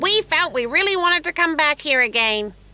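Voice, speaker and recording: This is a put-on character voice with a high pitch. The pace is fairly quick. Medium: fan dub. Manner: polite, mild.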